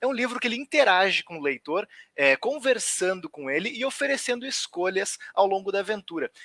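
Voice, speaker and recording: Raising and projecting his voice, a man talks at a fairly quick pace with a high pitch, very wide pitch swings and a bright, sharp tone, in a dry, close sound with no echo. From southern Brazil, Rio Grande do Sul (Porto Alegre area). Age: 30s. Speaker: writer. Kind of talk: online talk. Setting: livestream.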